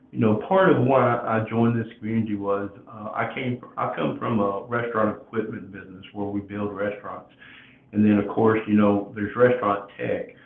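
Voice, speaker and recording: This man has a medium pitch and speaks at a moderate pace. Noticeable background noise runs under his voice. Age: 60s. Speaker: podcast host. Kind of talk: casual chat. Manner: halting.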